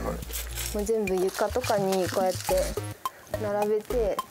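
Amid noticeable background noise, a man speaks at a fairly slow pace. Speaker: comedian, TV reporter. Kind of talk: TV location interview. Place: home room.

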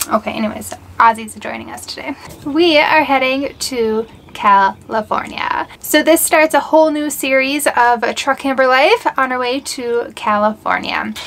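At a moderate pace, a woman speaks in a high pitch with ordinary pitch variation and big swings in loudness. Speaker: travel vlogger. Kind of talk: casual vlog chat.

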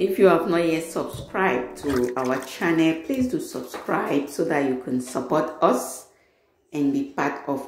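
Faint music plays in the background and the room echo is audible as the speaker goes at a fairly slow pace. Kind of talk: tutorial. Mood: warm, friendly. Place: kitchen.

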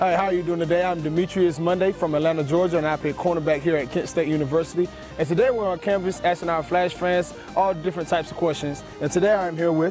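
Delivered at a very fast pace, the speech has a dry sound with no echo and clear music in the background. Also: man, high pitch for a man. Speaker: college football player hosting quiz. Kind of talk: casual quiz show interview. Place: street. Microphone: handheld.

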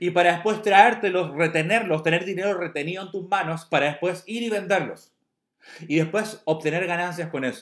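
A man's high-pitched, animated voice at a fairly quick pace, with ordinary pitch variation. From Chile. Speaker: network marketing promoter. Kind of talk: sales pitch.

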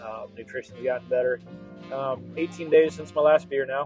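A man's voice with ordinary pitch variation, dry with no echo, over clear music in the background. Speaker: road trip vlogger. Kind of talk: casual vlog chat. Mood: reflective, personal. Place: car. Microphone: lapel.

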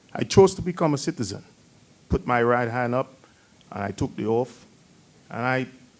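A man speaks at a moderate pace. He has a non-native accent. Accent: foreign. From outside the US. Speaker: town council member. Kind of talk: council meeting remarks. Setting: council chamber meeting. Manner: halting.

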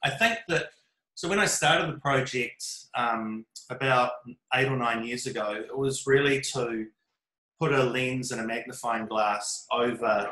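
Ordinary pitch variation is heard over a quiet background with audible room echo. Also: man. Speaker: remote guest, art project creator. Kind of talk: interview answer.

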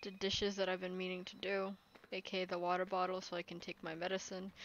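Delivered at a very fast pace, the speech has monotone, flat intonation. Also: woman, medium pitch for a woman. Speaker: game streamer. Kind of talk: casual live gameplay commentary. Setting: live stream, playing on phone. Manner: flat, subdued.

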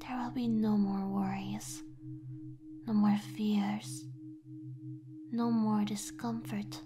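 A soft-spoken voice amid noticeable background noise. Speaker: voice actor performing a script. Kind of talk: soft hypnotic roleplay narration. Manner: soft, slow hypnotic ASMR voice.

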